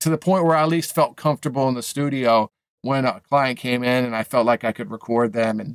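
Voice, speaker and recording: Speaking at a fairly quick pace, a man with an American accent has a medium pitch and ordinary pitch variation. The recording is very clean with a silent background and a dry, close sound with no echo. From New England, US (Maine and Boston). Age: 40s. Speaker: music producer and mixing engineer. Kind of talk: casual interview chat. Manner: halting, many repetitions and fillers.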